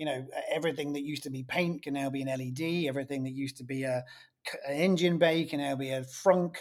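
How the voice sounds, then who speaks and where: Talking at a very fast pace, a man keeps his pitch fairly high. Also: fairly even intonation. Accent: British. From England. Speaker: author and marketing consultant. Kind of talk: casual interview chat.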